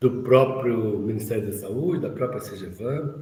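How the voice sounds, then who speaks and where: A man's somewhat breathy voice at medium pitch, dark and mellow in tone, with ordinary pitch variation, a fairly slow pace and audible room echo. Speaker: course instructor. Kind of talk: online lecture. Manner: halting.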